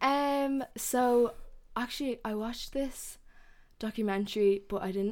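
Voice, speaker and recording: A woman talks at a fairly slow pace with an ordinary speaking voice. Her pitch is fairly high, with ordinary pitch variation. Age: 20s. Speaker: podcast guest. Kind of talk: casual chat.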